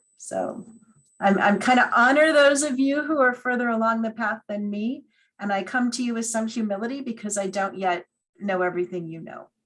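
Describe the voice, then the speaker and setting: In an ordinary speaking voice, a woman talks at a moderate pace with ordinary pitch variation. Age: 60s. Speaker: hospital chaplain and priest. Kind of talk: seminar talk.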